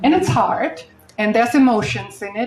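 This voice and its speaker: Music plays in the background as a woman speaks. Her voice is fairly high, with lively intonation. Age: 60s. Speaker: real estate investor and speaker. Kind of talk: panel talk at live event.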